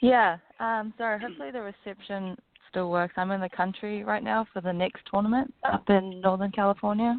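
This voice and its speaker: With a slight New Zealand accent, a woman speaks at a fairly quick pace in a medium pitch with ordinary pitch variation. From New Zealand, Auckland. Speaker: professional golfer. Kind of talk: radio interview. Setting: phone call.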